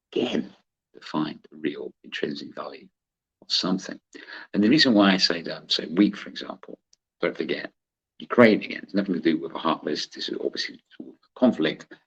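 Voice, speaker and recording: A man speaks at a fairly quick pace with a West Country accent. His loudness swings widely. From West Country, England. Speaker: trading educator. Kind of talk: tutorial. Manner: casual, chatty with laughter.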